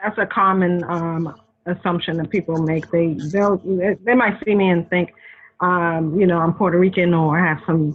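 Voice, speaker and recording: A woman with a slight Boston accent speaks at a moderate pace and a fairly low pitch. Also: fairly even intonation. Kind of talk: interview.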